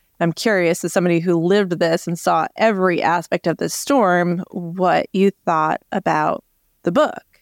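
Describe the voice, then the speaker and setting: A plain, everyday voice from a woman, fairly low in pitch, with ordinary pitch variation, a moderate pace and a dry, close sound with no echo. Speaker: meteorologist podcast host. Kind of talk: casual interview chat.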